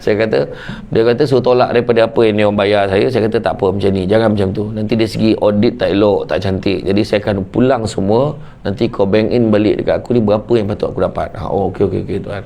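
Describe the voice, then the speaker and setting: Over noticeable background noise, a man talks at a very fast pace and a fairly low pitch. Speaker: Islamic preacher. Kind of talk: humorous religious talk. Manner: animated.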